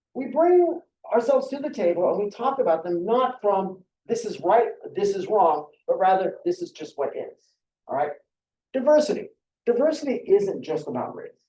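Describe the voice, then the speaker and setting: Extremely high pitch from a man, with very wide pitch swings and big swings in loudness. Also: moderate pace. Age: 50s. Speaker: university lecturer. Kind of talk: lecture. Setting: classroom. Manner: conversational.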